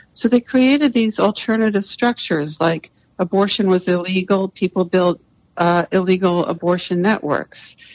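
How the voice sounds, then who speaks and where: In an American accent, a woman speaks in an ordinary speaking voice at a moderate pace and medium pitch, with ordinary pitch variation, very even loudness and a dry, close sound with no echo. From US, New York City. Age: 60s. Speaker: writer and activist. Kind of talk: podcast interview.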